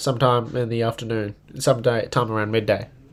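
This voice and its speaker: Speaking at a very fast pace, a man has an Australian accent. Noticeable background noise is present. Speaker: political livestreamer. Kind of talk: live stream commentary.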